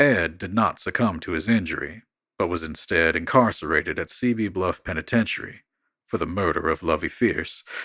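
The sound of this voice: The background is quiet while an unforced reading voice carries the text.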